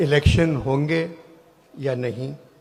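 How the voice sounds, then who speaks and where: A fairly high-pitched man's voice against noticeable background noise. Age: 80s+. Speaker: satirist speaking at a public event. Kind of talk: satirical public speech to a hall audience. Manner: dry, witty.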